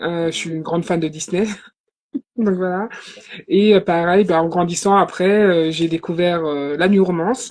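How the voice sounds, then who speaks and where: A woman speaks at a fairly slow pace with fairly even intonation. Long, frequent pauses appear throughout. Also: fairly low pitch for a woman. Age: 30s. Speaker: novelist. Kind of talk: live interview.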